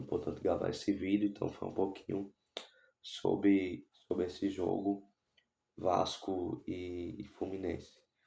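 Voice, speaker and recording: A man's dark, mellow tone at a fairly slow pace, flat and monotone in intonation. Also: fairly low pitch for a man. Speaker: football YouTuber. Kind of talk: casual vlog commentary. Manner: not speaking loudly; halting.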